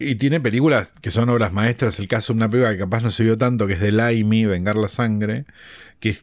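Talking very fast with fairly even intonation, this man has a fairly low pitch on a very clean recording with a silent background. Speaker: podcast co-host, film commentator. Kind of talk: casual chat.

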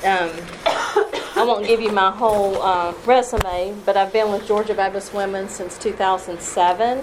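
With a Southern US accent, a woman speaks at a fairly slow pace and with fairly even intonation over noticeable background noise. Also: medium pitch for a woman. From US South (Tennessee, Kentucky, Alabama). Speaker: missionary and children's ministry trainer. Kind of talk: workshop talk. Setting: live session with audience.

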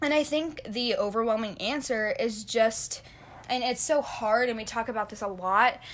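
Delivery comes at a moderate pace in a normal speaking voice. Pitch moves in an ordinary way. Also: woman, fairly high pitch for a woman. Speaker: podcast co-host. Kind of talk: casual chat.

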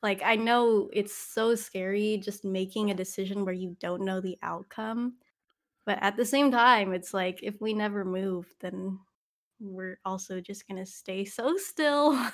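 A woman speaks in a plain, everyday voice at a fairly slow pace and medium pitch with ordinary pitch variation, in a very clean recording with a silent background. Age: 20s. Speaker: podcaster. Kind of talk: casual chat.

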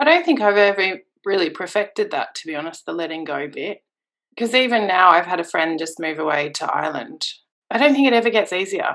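With an Australian accent, a woman speaks very fast at medium pitch. Her pitch swings very widely. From rural New South Wales, Australia. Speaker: expat mother. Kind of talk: interview.

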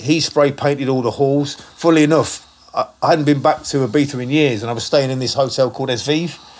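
Noticeable background noise sits behind this recording. A man speaks at a fairly quick pace, with a fairly high pitch and fairly even intonation. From Leicester, England. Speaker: club DJ. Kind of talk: casual chat.

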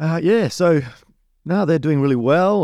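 Over a quiet background, a man with an Australian accent speaks with ordinary pitch variation. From Western Australia, Perth. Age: 40s. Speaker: pastor. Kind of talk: casual interview.

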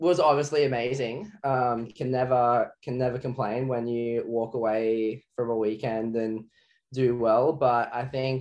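A very slow voice with an Australian accent over a quiet background. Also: man. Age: 20s. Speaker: professional wakeboarder. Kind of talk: interview.

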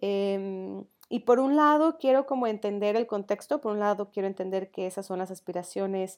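A woman speaks in an ordinary speaking voice at a medium pitch and moderate pace. Her pitch variation is ordinary, and the background is quiet. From Mexico, León (Guanajuato). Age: 20s. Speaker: podcast co-host, innovation student. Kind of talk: casual chat.

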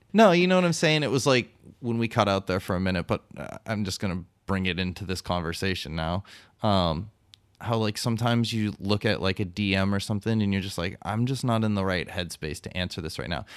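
A man with a plain, everyday voice talks at a fairly quick pace, pitched fairly low with ordinary pitch variation. The recording is very clean and the background silent. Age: 40s. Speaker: podcast co-host, photographer. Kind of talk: casual chat. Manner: jokey, profane.

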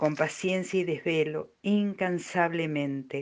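Delivery is very slow. The intonation rises and falls only a little. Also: woman, quiet background. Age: old. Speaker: amateur poet. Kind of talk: poetry reading.

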